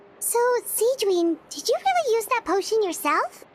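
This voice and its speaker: A woman does a put-on character voice. It is squeaky and extremely high in pitch. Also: moderate pace, lively intonation. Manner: curious, surprised.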